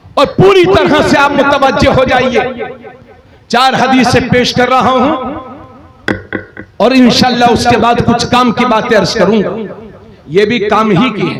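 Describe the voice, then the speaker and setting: A man with an extremely high pitch for a man and ordinary pitch variation, long, frequent pauses, and noticeable background noise. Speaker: Islamic cleric. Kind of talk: religious sermon. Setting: outdoor religious gathering.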